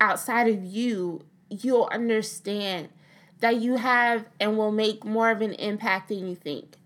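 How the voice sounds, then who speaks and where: A plain, everyday voice, with ordinary pitch variation and a fairly slow pace, comes through on a very clean recording with a silent background. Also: woman. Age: 20s. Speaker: beauty and lifestyle vlogger. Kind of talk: casual chat; motivational talk.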